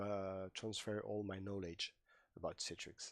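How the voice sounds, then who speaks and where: A man speaks with a non-native accent. His pitch is fairly low and his pace fairly slow. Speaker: IT trainer. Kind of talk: tutorial. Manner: animated.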